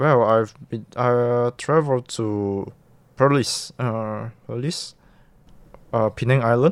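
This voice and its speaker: On a very clean recording with a silent background, a man of medium pitch speaks at a very slow pace with fairly even intonation and long, frequent pauses. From Malaysia. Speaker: university student. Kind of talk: interview. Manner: halting.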